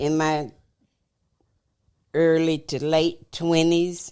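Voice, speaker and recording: Very slowly, a woman speaks in a very deep, low pitch, in a very clean recording with a silent background. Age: 70s. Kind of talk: casual chat.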